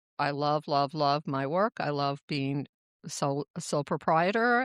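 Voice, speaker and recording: This woman's pitch is very deep and low, with ordinary variation. The sound is dry and close with no echo, against a quiet background. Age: 60s. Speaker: podcast host, medical intuitive. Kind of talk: casual chat.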